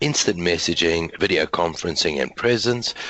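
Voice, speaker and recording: There is noticeable background noise as a man talks in a very deep, low pitch. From South Africa. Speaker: IT consultant and webinar host. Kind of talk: webinar presentation. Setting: online group call.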